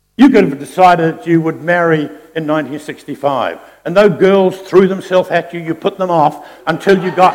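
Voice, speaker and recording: A man with a New Zealand accent and a high pitch, at a moderate pace, over noticeable background noise. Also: ordinary pitch variation. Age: 70s. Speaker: pastor. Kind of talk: sermon. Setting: church.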